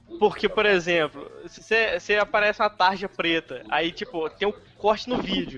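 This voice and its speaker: A man's raised, projected voice, high in pitch with ordinary pitch variation, comes through with a dry, close sound with no echo over noticeable background noise. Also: moderate pace. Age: 20s. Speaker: podcast host. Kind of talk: casual chat.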